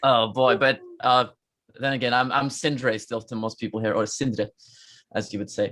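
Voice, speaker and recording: In a Norwegian accent, a man talks at a moderate pace and medium pitch, his tone bright and sharp and his intonation fairly even. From Norway, Trondheim. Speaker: rock musician. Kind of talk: casual interview chat. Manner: halting, many fillers.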